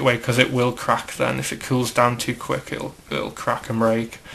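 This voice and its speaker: A man speaks at a moderate pace with a British accent. Background noise is noticeable. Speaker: hobbyist custom figure maker. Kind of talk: tutorial. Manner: casual, filler-heavy.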